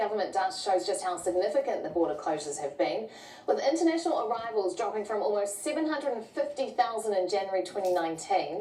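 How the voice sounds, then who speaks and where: A woman with a medium-pitched voice talks at a fairly quick pace with lively intonation, over noticeable background noise. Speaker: TV news presenter. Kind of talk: TV news interview questions.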